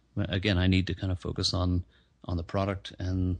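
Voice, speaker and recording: A man speaks with a very deep, low pitch and monotone, flat intonation. He is somewhat breathy and talks at a very fast pace. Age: 50s. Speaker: footwear and office furniture entrepreneur. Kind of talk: interview. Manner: hesitant, many fillers and repeats.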